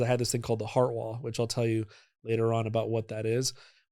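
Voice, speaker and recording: A man with a medium pitch speaks at a very fast pace. The recording is very clean, with a silent background. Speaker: energy healing practitioner. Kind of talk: podcast interview.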